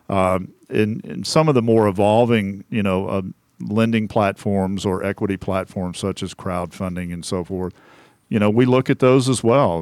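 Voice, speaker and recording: A man in an American accent, with a normal speaking voice and ordinary pitch variation, talks at a moderate pace on a very clean recording with a silent background and a dry, close sound with no echo. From Central Texas (Temple). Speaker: small business advisor. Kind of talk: interview. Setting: radio studio.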